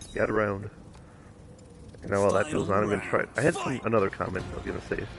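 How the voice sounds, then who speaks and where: Someone speaks at a fairly quick pace. Noticeable background noise can be heard. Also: man. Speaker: gaming streamer. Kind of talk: casual live stream commentary. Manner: loud; halting, many fillers.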